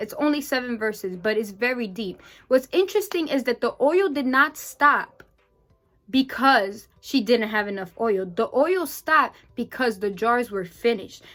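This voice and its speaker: Over background music, a woman with a high voice speaks at a moderate pace in an animated tone with lively intonation. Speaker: faith vlogger. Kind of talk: devotional talk.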